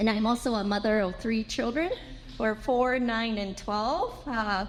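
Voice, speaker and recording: The pace is fairly slow. Audible room echo surrounds the voice. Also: woman. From Japan. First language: Japanese. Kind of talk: conference presentation. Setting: symposium with audience. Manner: halting, with fillers.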